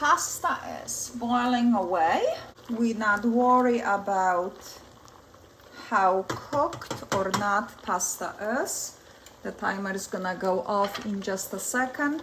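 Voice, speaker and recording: A woman with a non-native accent and medium pitch, speaking at a very slow pace with long, frequent pauses against noticeable background noise. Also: ordinary pitch variation. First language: not English. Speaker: cooking channel host. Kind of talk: cooking tutorial.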